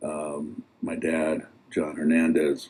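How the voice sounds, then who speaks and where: A man speaks with an American accent. Noticeable background noise sits behind him. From Pacifica, California, US. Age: 60s. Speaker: local resident sharing memories. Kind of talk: reminiscing talk at community event. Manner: hesitant, many fillers.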